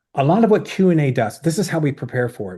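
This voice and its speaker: A man's dark, mellow, somewhat breathy voice with lively intonation and an American accent, against a quiet background. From Southern Maryland, US. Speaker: oral presentation coach. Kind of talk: webinar presentation with Q&A. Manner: fast.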